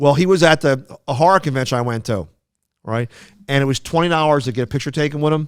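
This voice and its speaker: Speaking very fast with a strong Philadelphia accent, a man uses a fairly high pitch and ordinary pitch variation. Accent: thick Philadelphia. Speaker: podcast co-host. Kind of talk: casual chat. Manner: halting, many fillers and restarts.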